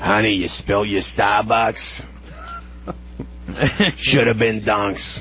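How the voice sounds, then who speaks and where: Using a put-on character voice, a man with a fairly low pitch speaks at a very slow pace with long, frequent pauses while clear music plays in the background. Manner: nagging, chiding.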